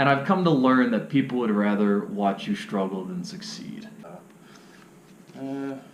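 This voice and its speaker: A man at a medium pitch talks with hardly any pauses, very wide pitch swings and big swings in loudness, amid audible room echo and noticeable background noise. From Cleveland, Ohio. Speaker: vlogger. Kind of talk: casual vlog monologue. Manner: fast.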